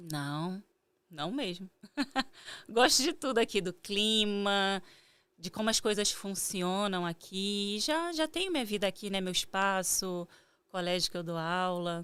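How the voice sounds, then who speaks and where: In a Carioca accent, a woman with a medium-pitched voice speaks fairly slowly with lively intonation and long, frequent pauses, on a very clean recording with a silent background. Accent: carioca accent, moderate. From Rio de Janeiro, Brazil (Jacarepaguá). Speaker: meditation teacher and spiritual therapist. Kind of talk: interview.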